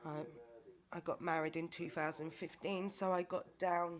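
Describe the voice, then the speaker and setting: Fairly even intonation in a British accent at a fairly slow pace. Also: woman. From UK. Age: 30s. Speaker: vlogger. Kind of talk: personal video diary. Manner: hesitant, with many fillers.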